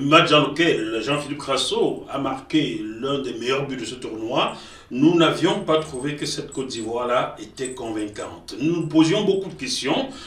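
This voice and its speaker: A man's fairly high voice at a fairly slow pace, with ordinary pitch variation and big swings in loudness, amid audible room echo and noticeable background noise. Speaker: football journalist. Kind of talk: news commentary.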